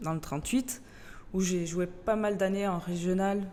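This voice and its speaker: A woman talks with a slight Portuguese accent. Her pitch is fairly low and her intonation fairly even. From Portugal, moved to France at 13. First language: Portuguese (speaking French). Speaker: youth football coach, childcare center director. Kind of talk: interview. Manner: hesitant, many fillers.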